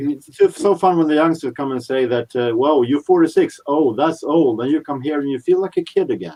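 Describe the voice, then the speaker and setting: A man with an ordinary speaking voice and a fairly high pitch talks at a fairly quick pace with hardly any pauses and ordinary pitch variation. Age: 40s. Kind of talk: casual chat.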